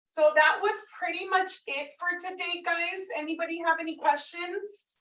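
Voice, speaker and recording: A woman speaks in a raised, projected voice with extremely high pitch, a bright, sharp tone and monotone, flat intonation. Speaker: mortgage training instructor. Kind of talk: training session. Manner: fast.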